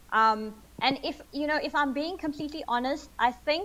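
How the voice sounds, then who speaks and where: The woman's high pitch moves with lively intonation. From Zimbabwe, later India and South Africa. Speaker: snake ecologist. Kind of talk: interview.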